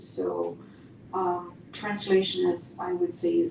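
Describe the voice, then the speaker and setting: A woman's very slow speech, with noticeable background noise and audible room echo. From East Germany. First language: German. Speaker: poet and university teacher. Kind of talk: Q&A answer.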